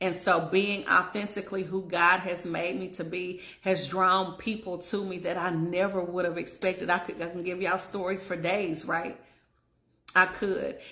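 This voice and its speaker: Her tone bright and sharp, a woman with a medium pitch speaks amid audible room echo. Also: moderate pace. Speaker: relationship coach. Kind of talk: casual vlog monologue. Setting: at home in bed. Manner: animated.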